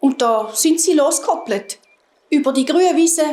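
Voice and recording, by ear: A woman with a high pitch and a slightly mellow tone speaks at a moderate pace with lively intonation.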